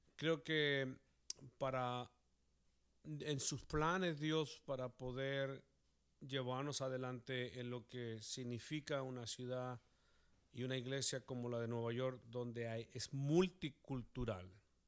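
A medium-pitched man at a very slow pace, his intonation fairly even. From Chile. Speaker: pastor. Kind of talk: casual chat.

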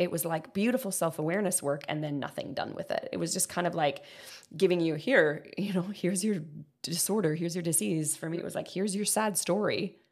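Her voice is a plain, everyday voice, a woman's at fairly low pitch, with ordinary pitch variation and a fairly quick pace. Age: 30s. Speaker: podcast host and coach. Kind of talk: casual chat.

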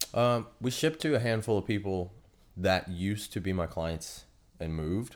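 This man, with an American accent, uses a plain, everyday voice at a fairly low pitch, lively intonation and a moderate pace, on a very clean recording with a silent background. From Pennsylvania, Pittsburgh. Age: 30s. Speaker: personal trainer and business owner. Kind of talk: casual interview chat.

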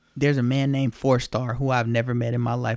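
This man talks at a very fast pace in a medium pitch. His tone is animated. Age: 20s. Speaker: interview guest sharing personal story. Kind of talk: personal testimony.

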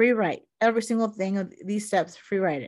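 In a very clean recording with a silent background, a woman of medium pitch speaks at a moderate pace in a passionate, animated tone. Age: 40s. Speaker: self care coach and podcast host. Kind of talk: solo monologue, personal reflection. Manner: loud.

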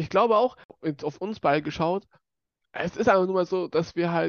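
A man speaks in a high pitch, with a dry, close sound that has no echo. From Bavaria, Germany. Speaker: youth council member, podcast host. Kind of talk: casual chat.

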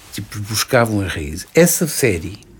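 The speaker has a European Portuguese accent and sounds somewhat breathy. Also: man. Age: 70s. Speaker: retired diplomat. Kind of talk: interview. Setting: studio.

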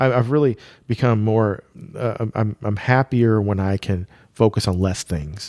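A man's normal speaking voice, fairly low in pitch, with ordinary pitch variation and a moderate pace, in a very clean recording with a silent background and a dry, close sound with no echo. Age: 40s. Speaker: race car wrap business owner and racer. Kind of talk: casual chat.

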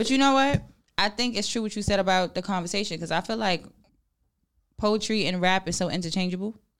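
Talking at a very fast pace, a woman speaks with an American accent and medium pitch. She takes long, frequent pauses. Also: ordinary pitch variation. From New York. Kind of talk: casual chat.

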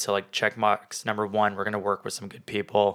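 This man talks at a fairly quick pace in a fairly low pitch. His tone is bright and sharp. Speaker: podcast host. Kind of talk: casual chat. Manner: playful, joking.

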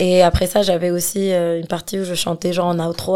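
Speaking at a fairly slow pace, a woman with a medium pitch and a dark, mellow tone keeps her intonation flat and monotone. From Algeria, Algiers. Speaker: singer and rapper. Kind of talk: casual interview chat. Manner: hesitant, many fillers.

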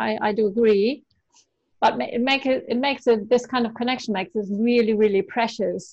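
With a plain, everyday voice, a woman talks at a fairly quick pace, her pitch fairly high and her pitch variation ordinary. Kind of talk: casual chat.

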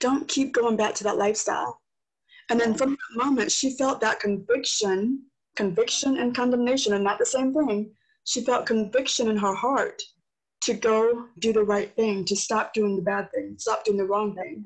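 A normal speaking voice goes at a moderate pace. Its pitch varies in an ordinary way. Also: woman, fairly high pitch for a woman. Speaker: podcast host. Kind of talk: casual interview chat.

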